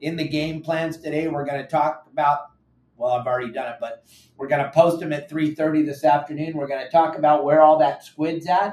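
The speaker has an American accent and a flat, monotone intonation. The pace is moderate. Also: man. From US West Coast, San Clemente, Southern California. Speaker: fishing show host, boat captain. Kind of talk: casual chat. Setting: studio. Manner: loud.

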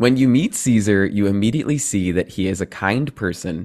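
With an American accent, the speaker shows ordinary pitch variation. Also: man. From New Jersey. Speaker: podcast host. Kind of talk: casual interview. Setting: video call. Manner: fast talker.

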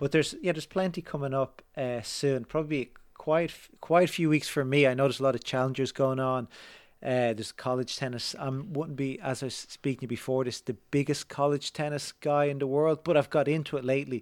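Fairly high-pitched, a man talks at a fairly quick pace with fairly even intonation. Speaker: tennis writer and podcaster. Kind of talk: casual interview conversation. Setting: remote call.

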